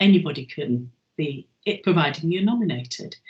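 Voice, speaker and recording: This woman's voice sits fairly low in pitch. It is somewhat breathy. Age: 70s. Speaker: chair of a learning charity for older people. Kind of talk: interview. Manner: halting, with frequent ums.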